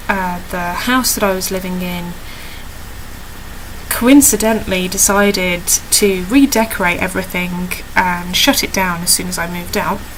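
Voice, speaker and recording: A woman with a British accent speaks at a medium pitch with ordinary pitch variation. Her moderate pace is heard with audible room echo. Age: 20s. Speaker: video diarist with chronic illness. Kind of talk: personal video diary. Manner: halting, many fillers.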